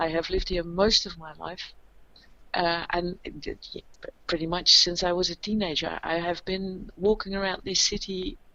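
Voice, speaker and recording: A woman speaks at a medium pitch with a Dutch accent. Her loudness swings widely while her intonation stays fairly even. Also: moderate pace. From Netherlands, Maastricht. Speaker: podcast co-host, local tour guide. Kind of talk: casual conversational podcast. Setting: recording from home, remote. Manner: halting, many fillers and restarts.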